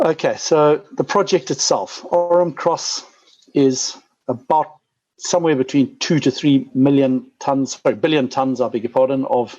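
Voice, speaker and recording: With a Zimbabwean accent, a man speaks fairly slowly in a dark, mellow tone at a fairly high pitch with ordinary pitch variation. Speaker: mining company CEO. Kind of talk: investor presentation. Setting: conference call. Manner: frequent fillers and repetitions.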